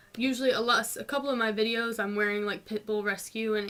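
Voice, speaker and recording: In a North Georgia accent, a woman talks in a fairly high voice with a bright, sharp tone. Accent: North Georgia mountain southern twang. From US South, North Georgia mountains. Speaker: vlogger. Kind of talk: casual Q&A vlog. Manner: casual, many fillers.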